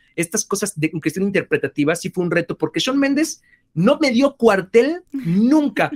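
The sound is dry and close with no echo as a man with a high pitch talks at a moderate pace, his pitch swinging very widely. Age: 30s. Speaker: voice actor and singer. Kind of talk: interview.

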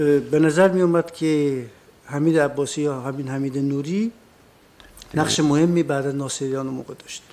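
A man speaks at a fairly high pitch and fairly quick pace in an unremarkable speaking voice. His intonation is fairly even, though his loudness swings widely. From northern Iran, Lahijan, then Tehran. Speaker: witness, former political prisoner. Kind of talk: court testimony. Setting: courtroom.

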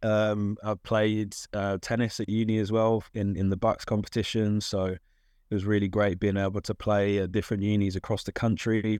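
In a London accent, a man talks at a moderate pace with hardly any pauses, his fairly low voice flat and monotone against a quiet background. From South London, England. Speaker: diversity advocate in tennis. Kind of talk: casual interview. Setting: studio. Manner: hesitant with fillers.

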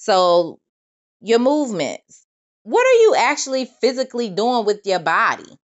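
The woman talks at a moderate pace. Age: 20s. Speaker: podcast host. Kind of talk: solo monologue podcast. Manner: casual, conversational.

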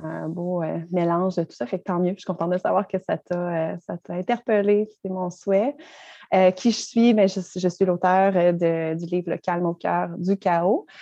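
A woman's medium-pitched voice in a Quebec accent, dark and mellow in tone, fairly slow and fairly even, with a dry, close sound, no echo and a quiet background. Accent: Québécois French. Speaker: mindfulness teacher and author. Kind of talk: interview.

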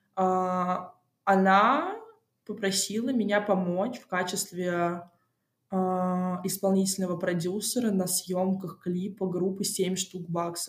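Speaking at a very slow pace with long, frequent pauses, a woman with a medium pitch keeps a monotone, flat intonation while her loudness swings widely. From Moscow, Russia. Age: 20s. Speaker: music industry PR specialist. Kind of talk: interview. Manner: casual; hesitant.

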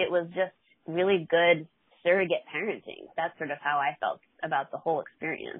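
This woman has a normal speaking voice with a fairly low pitch. Her intonation stays fairly even. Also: fairly quick pace. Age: 40s. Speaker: therapist and recovery mentor. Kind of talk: interview.

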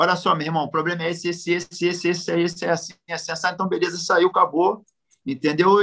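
At a fairly quick pace, a man talks with a high pitch and fairly even intonation. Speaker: jiu-jitsu master. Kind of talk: casual interview.

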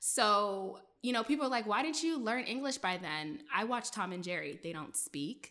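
Pitched fairly high, a woman speaks at a moderate pace with very wide pitch swings on a very clean recording with a silent background. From Prince George's County, Maryland (US). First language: French. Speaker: journalist. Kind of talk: casual chat.

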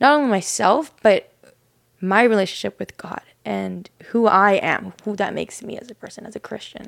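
A normal speaking voice delivered at a moderate pace. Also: woman. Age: 20s. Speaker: church worship leader and podcast co-host. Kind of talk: casual chat. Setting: studio, seated on a couch.

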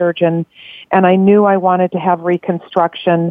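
Medium pitch from a woman, with fairly even intonation. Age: 60s. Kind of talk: interview testimony. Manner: halting.

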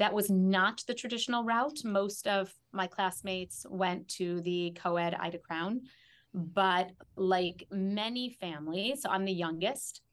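A woman with an American accent speaks at a fairly slow pace with ordinary pitch variation in a normal speaking voice. The recording is very clean, with a silent background. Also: medium pitch for a woman. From US Midwest, Chicago. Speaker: historian and educator. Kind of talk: interview conversation.

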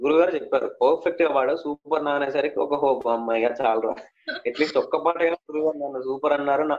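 This man talks with an unremarkable speaking voice. His pitch is fairly high. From Telangana, Mancherial (Adilabad district). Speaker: playback singer. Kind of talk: interview.

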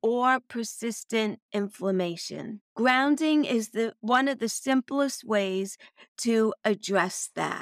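A woman with an American accent speaks very slowly at a fairly high pitch, the sound dry and close with no echo on a very clean recording with a silent background. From Brooklyn, New York. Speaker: wellness podcast host. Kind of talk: solo podcast talk.

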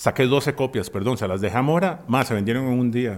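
A man with a Costa Rican accent talks at a fairly quick pace in a medium pitch with ordinary pitch variation. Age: 40s. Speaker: musician. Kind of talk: casual chat.

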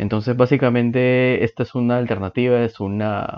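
This man has a plain, everyday voice. His delivery is moderately paced, with fairly even intonation. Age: 20s. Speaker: podcast host. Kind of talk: podcast introduction monologue.

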